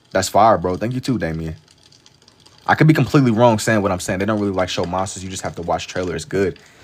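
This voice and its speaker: A man with a New York accent talks at a very fast pace, his very deep, low voice showing ordinary pitch variation. Noticeable background noise runs behind him. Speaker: live-streaming artist. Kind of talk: casual livestream chat while drawing. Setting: TikTok live stream.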